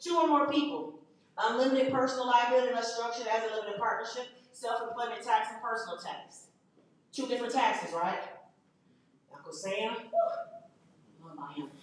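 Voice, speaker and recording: Amid audible room echo, a woman with a fairly high pitch speaks at a fairly quick pace in an animated tone, with lively intonation, big swings in loudness, and long, frequent pauses. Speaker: teacher running a business workshop. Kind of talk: workshop lecture to a live class. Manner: animated, conversational.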